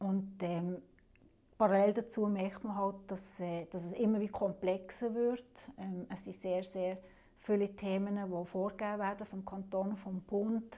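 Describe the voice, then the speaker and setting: Her dark, mellow tone holds a monotone, flat intonation as the woman speaks. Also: medium pitch for a woman, fairly slow pace. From Switzerland, canton of Fribourg (German-speaking). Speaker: municipal councillor. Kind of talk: interview.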